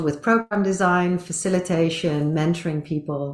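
Ordinary pitch variation comes at a moderate pace. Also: woman. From Netherlands and Asia, British and Dutch parents. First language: Dutch and English (bilingual). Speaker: compassion coach and trainer. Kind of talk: casual interview chat.

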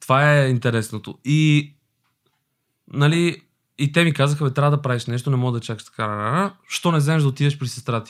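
Speaking at a moderate pace, a man has a fairly high pitch, ordinary pitch variation and big swings in loudness. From Albania, moved to Bulgaria at 10. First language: Albanian (speaking Bulgarian). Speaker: actor. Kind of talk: casual chat.

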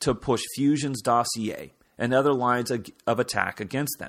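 A man with an unremarkable speaking voice talks at a moderate pace and medium pitch, on a very clean recording with a silent background. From Kansas. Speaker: political commentator, podcast host. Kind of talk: political commentary monologue.

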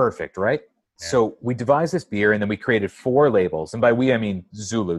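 Over a quiet background comes a normal speaking voice with lively intonation. The speaker has an American accent. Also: man, dry, close sound with no echo. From San Diego, California. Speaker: brewery representative. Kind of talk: casual chat.

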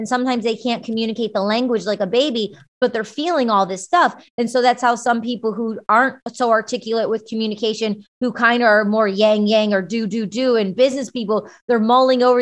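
Against a quiet background, a woman with an American accent speaks very fast at a fairly high pitch with fairly even intonation. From Michigan, US. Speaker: actress and musician. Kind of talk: interview.

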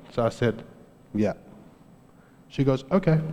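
This man has a South African accent and a dark, mellow, somewhat breathy tone. He talks at a fairly quick pace with ordinary pitch variation. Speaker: preacher. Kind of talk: sermon. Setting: church.

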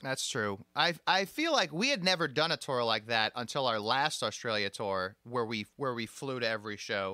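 The voice has a bright, sharp tone and lively intonation at a moderate pace. Hardly any pauses break the dry, close sound, which has no echo. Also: man, medium pitch for a man. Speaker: podcast host. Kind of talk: casual interview chat. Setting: video call, recorded during lockdown.

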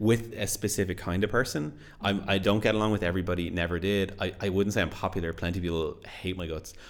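A man with a Dublin accent talks at a very fast pace in a very deep, low voice with fairly even intonation. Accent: Irish (Dublin). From Ireland, Dublin area. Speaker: podcast co-host. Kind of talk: casual chat. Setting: home studio.

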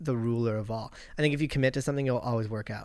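On a very clean recording with a silent background, a man with a Canadian accent speaks at medium pitch in an unremarkable speaking voice with fairly even intonation. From Vancouver Island, Canada. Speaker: actor. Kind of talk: casual chat.

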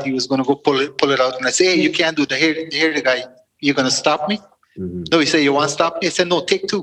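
A man's bright, sharp tone, fairly high in pitch, very fast, with ordinary pitch variation. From Guyana. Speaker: podcast guest. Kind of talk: casual chat.

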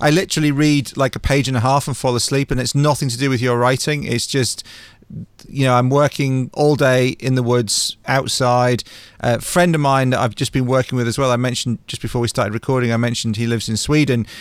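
This man talks at a very fast pace in a medium-pitched voice. His intonation stays fairly even. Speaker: podcast host. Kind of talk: interview conversation. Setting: video call.

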